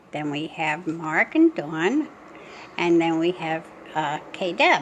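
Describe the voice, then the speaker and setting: A woman at fairly low pitch and a very slow pace, with noticeable background noise. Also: fairly even intonation. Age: 80s+. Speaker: family vlogger. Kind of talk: casual chat. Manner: rambling conversational.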